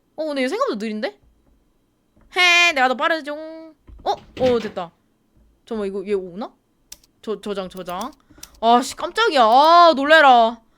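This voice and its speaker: A woman with a high pitch and a bright, sharp tone speaks at a fairly slow pace with long, frequent pauses. Her delivery is animated, with very wide pitch swings. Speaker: gaming streamer. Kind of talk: horror game let's play commentary. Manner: speeds up when scared; animated, screaming.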